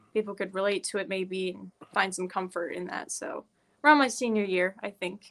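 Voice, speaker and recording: A woman speaks with an American accent at a moderate pace. Her voice is medium in pitch with ordinary pitch variation. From Iowa, US Midwest. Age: young. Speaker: musician. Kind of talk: interview.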